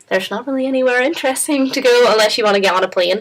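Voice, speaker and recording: Very fast and with fairly even intonation, a woman speaks in a Northern Irish accent. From Northern Ireland. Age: 20s. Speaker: international exchange student. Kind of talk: interview. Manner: casual, hesitant.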